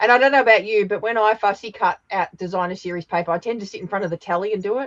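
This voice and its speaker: Talking at a very fast pace, a woman has an Australian accent. The sound is dry and close, with no echo. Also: medium pitch for a woman, ordinary pitch variation. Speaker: papercraft demonstrator. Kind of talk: casual chat. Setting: live stream.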